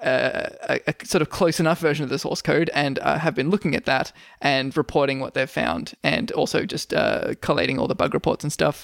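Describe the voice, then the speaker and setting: The speaker talks at a fairly quick pace in an Australian accent with hardly any pauses, in a very clean recording with a silent background. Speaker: podcast host. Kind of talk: casual comedic chat.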